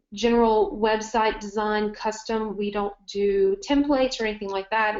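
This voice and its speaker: A woman speaks with a Southern US accent at a moderate pace. Her medium pitch holds fairly even intonation. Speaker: marketing agency owner. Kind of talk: webinar presentation. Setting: online webinar.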